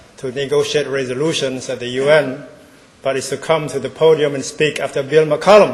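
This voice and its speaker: In a Cambodian accent, a man with a fairly high voice speaks at a moderate pace with fairly even intonation. Audible room echo and noticeable background noise are present. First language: Khmer. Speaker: ambassador. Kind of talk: keynote speech. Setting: stage with audience.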